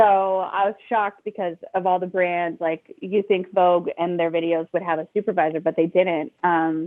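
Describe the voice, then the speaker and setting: At a moderate pace and with hardly any pauses, a woman speaks at a fairly low pitch in monotone, flat intonation. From New York. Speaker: music supervisor. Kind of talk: interview on a live audio chat. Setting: live audio chat room. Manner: hesitant fillers.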